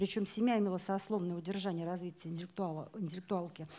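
Her dark, mellow tone moves with ordinary pitch variation as the woman speaks. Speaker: event presenter; presenter. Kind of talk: event moderation. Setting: bookstore stage with audience. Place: hall. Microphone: handheld.

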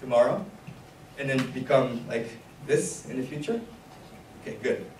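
A man speaks over noticeable background noise. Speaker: workshop instructor. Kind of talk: lecture. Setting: stage with audience. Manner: animated.

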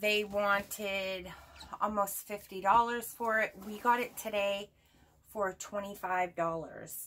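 Very slow speech from a woman with a bright, sharp tone and fairly even intonation, over light background noise. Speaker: haul vlogger. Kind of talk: casual vlog chat. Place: home room.

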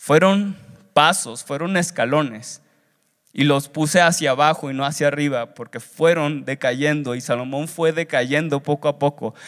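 A man talks fairly slowly in a fairly high voice with ordinary pitch variation. The background is quiet. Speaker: seminary student preacher. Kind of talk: sermon delivered as a preaching exam, with Bible reading and exhortation. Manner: earnest, exhortative, preacher's cadence with repetitions and rising urgency. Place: hall. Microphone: handheld.

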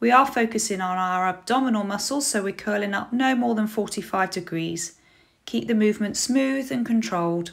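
On a very clean recording with a silent background, a woman with a British accent speaks at a moderate pace and medium pitch, with ordinary pitch variation. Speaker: fitness apprentice. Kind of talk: scripted exercise instruction. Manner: clear, measured, instructional.

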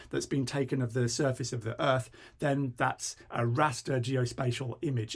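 A somewhat breathy man at a moderate pace, against a quiet background. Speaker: presenter. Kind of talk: tutorial.

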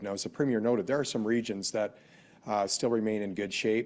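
An unremarkable speaking voice with a Canadian accent. The intonation stays fairly even. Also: man. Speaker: provincial finance minister. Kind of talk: press conference. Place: hall. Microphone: podium.

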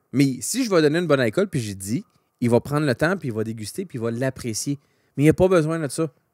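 A man with a Quebec accent talks at a very fast pace with lively intonation, his voice dry with no echo against a quiet background. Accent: Québécois French. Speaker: podcast co-host. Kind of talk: casual chat. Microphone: studio mic.

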